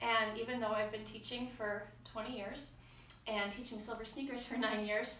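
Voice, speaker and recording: There is audible room echo as a woman speaks. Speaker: fitness instructor. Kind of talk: exercise class instruction. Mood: warm, a little nervous. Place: garage. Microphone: camera far.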